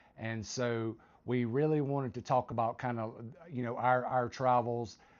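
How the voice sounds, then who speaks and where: A man's medium-pitched voice with a Southern US accent, flat and monotone, at a moderate pace. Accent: Southern US, noticeable. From US South, South Carolina. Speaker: retired military vlogger. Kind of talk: casual chat. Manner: halting.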